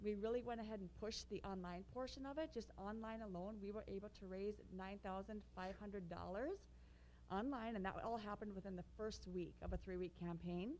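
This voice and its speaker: With light background noise behind her, a woman speaks at a moderate pace with ordinary pitch variation. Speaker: presenter. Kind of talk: public meeting presentation. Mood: upbeat, pleased. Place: meeting room.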